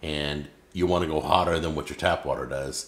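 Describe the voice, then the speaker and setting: The speaker is a man at a moderate pace. His voice has vocal fry. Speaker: cooking show host. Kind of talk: product demonstration. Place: kitchen.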